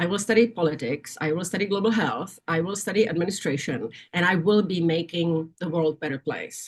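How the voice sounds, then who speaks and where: With a Czech accent, a woman speaks fairly quickly with hardly any pauses, her fairly low voice somewhat breathy. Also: ordinary pitch variation. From Czechoslovakia. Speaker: nursing association executive. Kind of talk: interview. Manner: halting.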